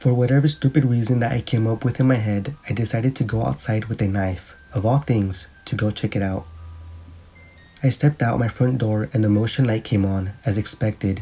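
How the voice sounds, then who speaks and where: Brisk speech from a man at a middle pitch, its pitch moving in a normal way, with clear background noise. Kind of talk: scary story narration.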